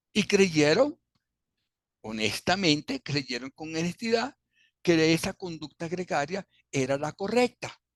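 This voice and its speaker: Against a quiet background, a man talks at a fairly slow pace with lively intonation in a dry, close sound with no echo. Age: 70s. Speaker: businessman. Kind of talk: interview answer.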